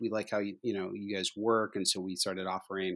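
In an ordinary speaking voice, a man with an American accent talks at a moderate pace with fairly even intonation, in a very clean recording with a silent background. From Indiana, US. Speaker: distillery co-founder. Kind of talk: casual podcast interview.

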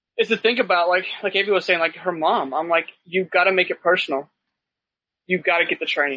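Speaking with an American accent, a man uses a high pitch and a bright, sharp tone, keeping a fairly quick pace, fairly even intonation and very even loudness. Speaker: paramedic and medical gear business owner. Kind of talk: casual chat.

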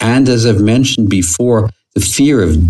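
Somewhat breathy, a man's voice comes across with a dry, close sound and no echo. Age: 70s. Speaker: podcast host and psychotherapist. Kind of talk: solo monologue podcast on self-help topic.

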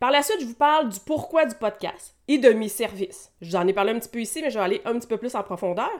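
A woman with a Quebec accent speaks at a very fast pace and a fairly high pitch with lively intonation, on a very clean recording with a silent background. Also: hardly any pauses. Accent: Québécois French. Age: 40s. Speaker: massage therapist and wellness coach. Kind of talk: solo podcast monologue.

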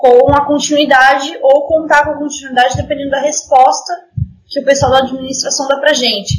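A woman is speaking. Her pitch is high. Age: 20s. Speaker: orchestra violinist. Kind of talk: casual interview.

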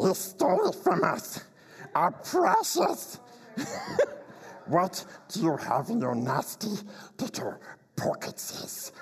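A put-on character voice from a man, high-pitched and at a fairly slow pace. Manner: hissing, sneering.

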